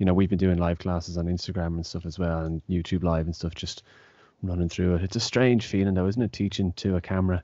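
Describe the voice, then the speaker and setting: A very fast man's voice, very deep and low in pitch, dark and mellow in tone, with fairly even intonation, a dry sound with no echo and a quiet background. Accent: Irish. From Ireland. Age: 30s. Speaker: taekwon-do instructor and podcast host. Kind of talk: casual interview. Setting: video call. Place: home room. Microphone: studio mic.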